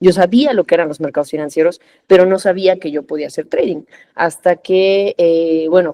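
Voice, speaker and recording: With a Mexican accent, a woman speaks at a moderate pace in a fairly low pitch with ordinary pitch variation. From Mexico. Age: 30s. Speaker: corporate lawyer and trader. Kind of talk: podcast interview. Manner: conversational with frequent fillers.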